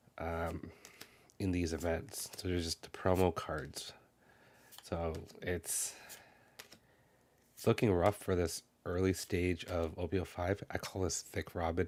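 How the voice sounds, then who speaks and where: Quiet and flat in intonation, a man with a very deep, low voice speaks at a fairly slow pace with long, frequent pauses. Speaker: card game content creator. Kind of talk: unboxing commentary. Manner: mellow, quiet.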